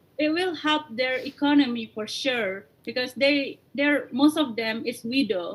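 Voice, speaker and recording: The speaker has an Indonesian accent and a fairly slow pace. There are hardly any pauses, and the pitch variation is ordinary. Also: woman, high pitch for a woman. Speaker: coffee company founder. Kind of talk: interview.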